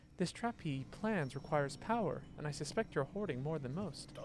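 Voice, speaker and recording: A man does a put-on character voice at a fairly high pitch and a moderate pace. Background noise is clearly audible. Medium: game stream. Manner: contemptuous, sneering.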